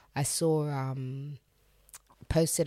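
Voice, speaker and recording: A woman's very deep, low voice with a dark, mellow tone, a London accent and fairly even intonation. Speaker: DJ and radio presenter. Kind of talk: casual chat.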